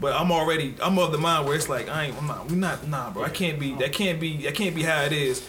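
A man with a fairly high pitch at a very fast pace, hardly any pauses, music in the background and audible room echo. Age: 30s. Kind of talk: casual chat.

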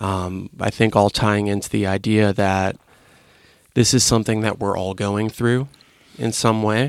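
A man with an ordinary speaking voice talks at a fairly slow pace in a fairly low pitch with fairly even intonation. The recording is very clean, with a silent background. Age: 20s. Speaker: podcast host. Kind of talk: casual chat. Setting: studio.

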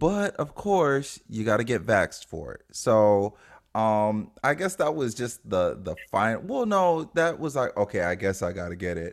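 A man speaks at a medium pitch, fairly slowly and with hardly any pauses. The recording is very clean, with a silent background. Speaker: podcast co-host. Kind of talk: casual chat. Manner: chill, laid-back.

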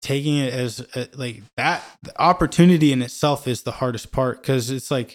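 Speaking in a Midwestern US accent, a man keeps a medium pitch and fairly even intonation. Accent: US Midwest. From Kansas City, Missouri (Parkville, north of the river). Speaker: musician. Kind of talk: casual chat.

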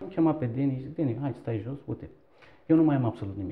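A man with a Turkish accent and lively intonation, with music in the background. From Turkey, Istanbul. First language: Turkish (speaking Romanian). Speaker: entrepreneur, shop owner. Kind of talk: interview.

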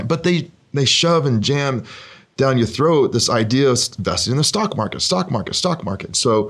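Here a man talks at a moderate pace in a medium pitch with vocal fry. His pitch swings very widely. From Oregon. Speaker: real estate investor and former military pilot. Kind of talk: interview.

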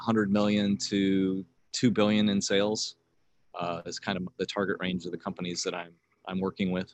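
Speaking at a moderate pace, this man has a fairly low pitch. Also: quiet background. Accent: US Midwestern. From US Midwest, rural northwest Ohio. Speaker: banker. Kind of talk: casual interview testimony. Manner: halting, many fillers.

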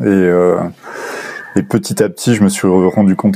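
A man speaks with a very deep, low pitch. There is noticeable background noise. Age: 20s. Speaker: physiotherapy student, former banker. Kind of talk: interview. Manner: halting.

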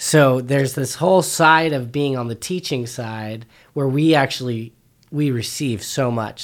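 An unremarkable speaking voice from a man at a moderate pace, on a very clean recording with a silent background. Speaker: co-host. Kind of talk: casual chat.

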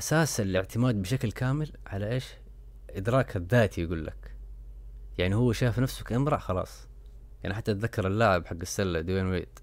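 A fairly low-pitched male voice with vocal fry, ordinary pitch variation and a moderate pace, on a very clean recording with a silent background. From Saudi Arabia. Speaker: podcast host. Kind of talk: casual solo commentary.

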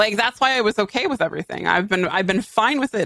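Lively intonation in an American accent. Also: woman, dry, close sound with no echo. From Western Massachusetts. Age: 30s. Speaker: gaming streamer. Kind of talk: casual chat.

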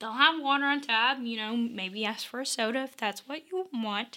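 A woman talks at a moderate pace. Her voice is raised and projected. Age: 20s. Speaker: podcast host, college student. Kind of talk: solo advice podcast. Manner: casual.

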